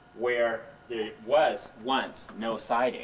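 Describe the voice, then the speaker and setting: There is noticeable background noise behind a man's speech. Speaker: home renovator. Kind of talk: mock home improvement show presenting.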